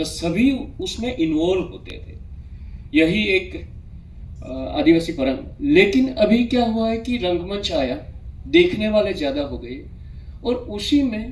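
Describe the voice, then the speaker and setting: The voice moves through very wide pitch swings and big swings in loudness, with audible room echo and noticeable background noise. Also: man. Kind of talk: seminar presentation. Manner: halting, many fillers.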